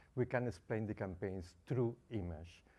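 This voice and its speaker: With a Spanish accent, a man speaks in a dark, mellow tone at a moderate pace. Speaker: consumer advocacy founder. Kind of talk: conference presentation.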